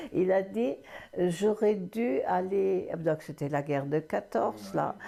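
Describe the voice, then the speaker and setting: A woman's fairly low voice with lively intonation, a very slow pace, vocal fry, a dark, mellow tone and very even loudness. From Moselle, France. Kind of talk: interview answer. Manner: hesitant.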